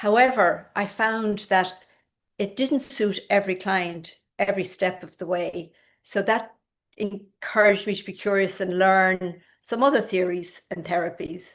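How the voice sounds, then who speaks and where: Against a quiet background, a woman with an Irish accent speaks at medium pitch, fairly slowly and with fairly even intonation. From rural Ireland. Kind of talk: online lecture.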